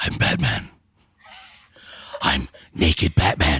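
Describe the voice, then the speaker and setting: Raspy and gravelly, a put-on character voice comes at a fairly slow pace. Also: man, very deep, low pitch for a man. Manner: dramatic.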